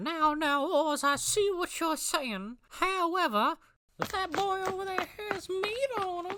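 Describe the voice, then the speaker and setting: Extremely high put-on character voice at a fairly slow pace. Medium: fan dub.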